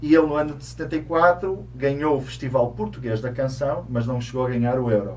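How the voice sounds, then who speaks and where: Room echo is audible as a man talks at a fairly quick pace with hardly any pauses and big swings in loudness. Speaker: co-host of a Portuguese community segment. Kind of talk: casual talk-show chat.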